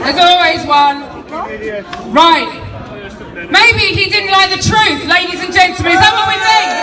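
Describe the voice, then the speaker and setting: Over crowd noise and audible room echo, a woman with an extremely high pitch projects a raised voice at a moderate pace, using ordinary pitch variation and long, frequent pauses. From London. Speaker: political activist speaker. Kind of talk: rally speech. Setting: outdoor march with crowd. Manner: loud; animated.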